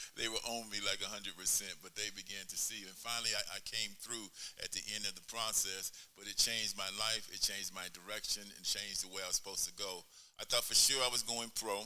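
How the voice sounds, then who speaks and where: A man speaks at a very fast pace and a fairly low pitch, in a monotone, flat delivery with big swings in loudness. The recording carries noticeable background noise and audible room echo. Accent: American. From El Paso, Texas. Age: 70s. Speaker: pastor and former basketball player. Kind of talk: interview on stage.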